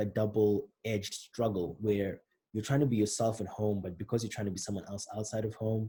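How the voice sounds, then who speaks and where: A man with a Zimbabwean accent, a dark, mellow tone, somewhat breathy, with monotone, flat intonation, in a very clean recording with a silent background. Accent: British-style Zimbabwean. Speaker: rapper explaining own album. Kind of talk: commentary on own songs. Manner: casual, conversational.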